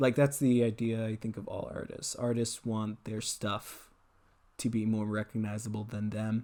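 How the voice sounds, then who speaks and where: A man speaks at a moderate pace with a medium pitch. His tone is dark and mellow. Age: young. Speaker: YouTuber and artist. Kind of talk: casual chat while drawing. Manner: laid-back; halting.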